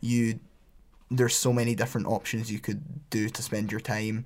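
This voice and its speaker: An unremarkable speaking voice from a man, fairly low in pitch with fairly even intonation, on a very clean recording with a silent background. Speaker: engineering student. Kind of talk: casual chat. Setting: studio.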